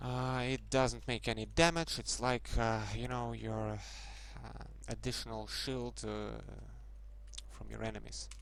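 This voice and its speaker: In a Russian accent, a man with a very deep, low pitch speaks at a fairly slow pace, flat and monotone, with long, frequent pauses. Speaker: game modder. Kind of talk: tutorial. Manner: halting, many fillers.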